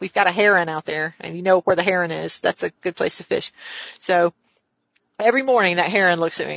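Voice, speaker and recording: Using a plain, everyday voice, a woman with an American accent speaks at a fairly quick pace and a medium pitch with ordinary pitch variation. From US South. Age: 50s. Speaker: real estate developer. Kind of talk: casual interview.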